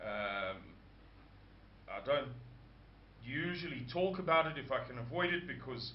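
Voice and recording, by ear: At a fairly slow pace, a man talks at a fairly high pitch with audible room echo.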